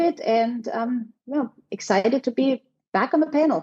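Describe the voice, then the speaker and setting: At a moderate pace, a woman speaks with a high pitch, a dark, mellow tone and ordinary pitch variation. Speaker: hotel general manager. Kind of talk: podcast interview. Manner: halting, many fillers.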